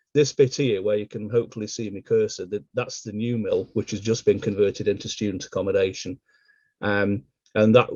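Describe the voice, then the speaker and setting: A man of medium pitch speaks in a Potteries accent. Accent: Stoke-on-Trent (Potteries) English. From England, Stoke-on-Trent. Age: 50s. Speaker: local historian. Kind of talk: illustrated history talk.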